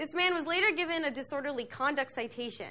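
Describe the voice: A woman speaks fast in a high pitch with ordinary pitch variation. Her tone is bright and sharp.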